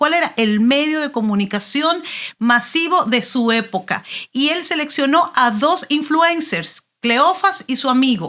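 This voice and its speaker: A woman projects a raised, high voice with a bright, sharp tone and very wide pitch swings. Her delivery is animated and fairly slow. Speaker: pastor. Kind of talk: interview.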